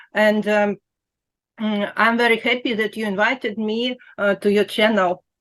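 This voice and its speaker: A woman with a Russian accent speaks at a moderate pace and a fairly high pitch. Her intonation is monotone and flat. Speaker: quilting blogger. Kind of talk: interview. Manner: halting.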